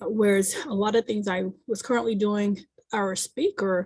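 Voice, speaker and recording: Soft-spoken and somewhat breathy, a woman speaks slowly-ish at a fairly slow pace and medium pitch, with fairly even intonation in a dry, close sound with no echo. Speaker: community service provider. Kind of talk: community meeting presentation. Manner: halting, many fillers.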